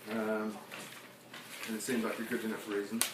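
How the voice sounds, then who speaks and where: There is noticeable background noise. Over it, a man speaks at a medium pitch. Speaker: poet. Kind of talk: casual talk to audience between poems. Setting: live performance before audience.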